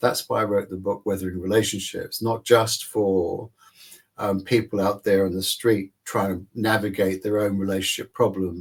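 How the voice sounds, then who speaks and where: On a very clean recording with a silent background, a man with a fairly low pitch speaks at a moderate pace in a somewhat breathy voice with monotone, flat intonation. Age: 60s. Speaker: psychologist and author. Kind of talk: interview.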